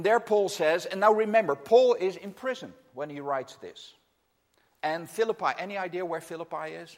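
A man with a Dutch accent talks at a high pitch and a moderate pace, with ordinary pitch variation. His loudness swings widely. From Netherlands. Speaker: missionary regional director preaching. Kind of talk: sermon. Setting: church.

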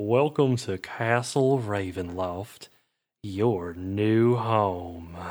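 In a very clean recording with a silent background, a man does a put-on character voice at a very slow pace. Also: fairly low pitch for a man. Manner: gentle, welcoming.

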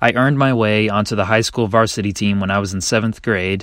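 In an American accent, a man speaks at a fairly low pitch with fairly even intonation. His is an unremarkable speaking voice. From North Carolina, Kernersville. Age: 20s. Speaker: golf mental coach. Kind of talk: scripted narration.

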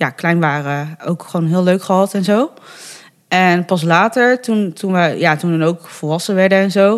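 Pitch varies in an ordinary way. The recording is very clean, and the background is silent. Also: woman. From Netherlands, Bergen op Zoom (North Brabant). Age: 30s. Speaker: adoptee sharing her story. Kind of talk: interview conversation. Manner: hesitant, many fillers.

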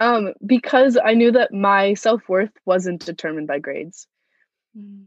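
A woman with an ordinary speaking voice talks at medium pitch and a moderate pace, with lively intonation. The recording is dry and close, with no echo. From US East Coast (Virginia and Massachusetts), born in Moscow. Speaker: college student. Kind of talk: interview.

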